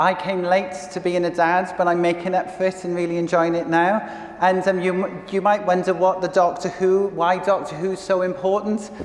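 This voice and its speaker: A man talks at a high pitch in a monotone, flat intonation at a moderate pace. The recording carries noticeable background noise and audible room echo. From Wales. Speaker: communications director. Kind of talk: conference talk. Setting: stage with audience. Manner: halting.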